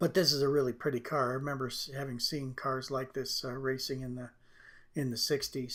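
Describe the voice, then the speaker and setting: In a very clean recording with a silent background, a man talks at a fairly quick pace in a relaxed tone. His pitch is medium and his intonation monotone and flat. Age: 60s. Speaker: drawing artist and tutor. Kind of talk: tutorial. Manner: relaxed, hesitant with fillers.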